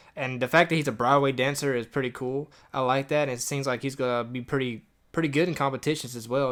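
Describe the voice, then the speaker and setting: A man with an American accent, medium-pitched, fairly quick, flat and monotone, on a very clean recording with a silent background. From New Jersey. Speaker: podcast co-host. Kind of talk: casual chat.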